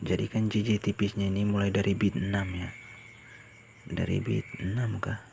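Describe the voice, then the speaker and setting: A man speaks at a moderate pace in a dark, mellow, somewhat breathy tone, his fairly low voice monotone and flat. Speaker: video editing tutorial creator. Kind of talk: tutorial. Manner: casual.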